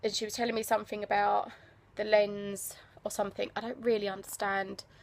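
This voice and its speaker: This woman talks at a fairly quick pace with a medium pitch and an English accent. Her intonation is monotone and flat. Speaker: travel vlogger. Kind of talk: casual vlog. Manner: quiet.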